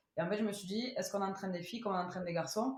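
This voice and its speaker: A woman's medium-pitched voice with a Toulouse accent, amid audible room echo and noticeable background noise. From Toulouse, southern France. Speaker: rugby strength and conditioning coach. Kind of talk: podcast interview. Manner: hesitant, many fillers.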